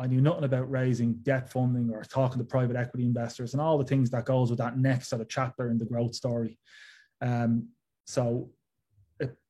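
A man's medium-pitched, dark and mellow voice with a Dublin accent, somewhat breathy and monotone, at a fairly quick pace on a very clean recording with a silent background. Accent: Dublin Irish. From Ireland, Dublin. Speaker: tech startup founder and CEO. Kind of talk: interview.

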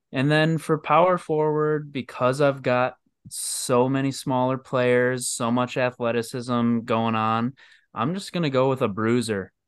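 A man with an unremarkable speaking voice and an American accent, medium pitch, ordinary pitch variation, fairly slow pace, quiet background. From Michigan. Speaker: podcast guest, sports fan. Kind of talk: casual chat. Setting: video call.

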